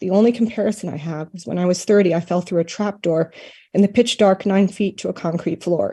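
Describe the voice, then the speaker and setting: A woman speaks fairly quickly in a dark, mellow, somewhat breathy tone, her medium pitch held in fairly even intonation. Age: 50s. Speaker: vaccine-injured member of the public giving comment. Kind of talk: prepared public testimony.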